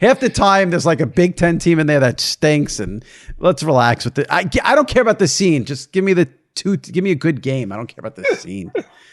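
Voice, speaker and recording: With an American accent and vocal fry, a man speaks at a fairly high pitch, his voice making very wide pitch swings and big swings in loudness. The sound is dry and close with no echo, over a quiet background. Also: fairly quick pace. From Long Island, New York. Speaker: sports podcast host. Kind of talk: casual interview chat.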